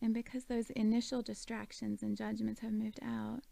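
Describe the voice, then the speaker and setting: Calm in tone, a woman speaks at a fairly slow pace in a fairly high pitch. Her intonation is monotone and flat, and her tone is dark and mellow. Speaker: meditation guide. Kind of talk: guided meditation. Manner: calm, slow.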